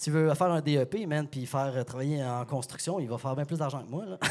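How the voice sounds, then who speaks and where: A man speaks in a normal speaking voice at medium pitch. The recording is very clean, with a silent background. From Quebec, Sherbrooke. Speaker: beer store partner and sommelier. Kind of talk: casual chat.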